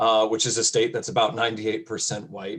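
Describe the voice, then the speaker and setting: A man with an American accent and an ordinary speaking voice talks at a fairly quick pace with ordinary pitch variation. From upstate New York (near Syracuse). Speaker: college educator. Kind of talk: panel discussion.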